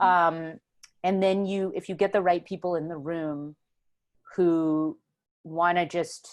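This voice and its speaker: A woman's fairly low, monotone voice with an American accent, very slow and flat, broken by long, frequent pauses. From Houston, Texas. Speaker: writer and filmmaker. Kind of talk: oral history interview answer. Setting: video call.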